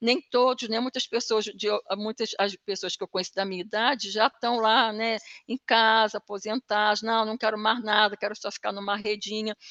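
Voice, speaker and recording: Bright and sharp in tone, a woman speaks at a fairly high pitch and a moderate pace with fairly even intonation. The sound is dry and close with no echo, against a quiet background. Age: 60s. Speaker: training participant. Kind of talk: casual chat. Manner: halting.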